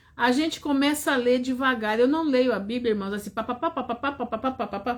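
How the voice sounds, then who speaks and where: A woman with a high pitch and lively intonation talks at a moderate pace while music plays in the background. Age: 60s. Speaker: preacher. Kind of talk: sermon.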